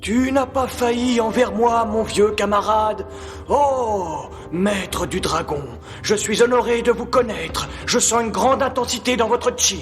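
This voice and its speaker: Over clear background noise, a man puts on a character voice. His pitch is extremely high. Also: moderate pace. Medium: fan dub.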